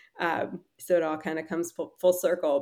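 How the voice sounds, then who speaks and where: A woman speaks with an American accent in an ordinary speaking voice. Her pitch is medium and her pace fairly quick. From Philadelphia area, US. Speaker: startup founder and CEO. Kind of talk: casual interview.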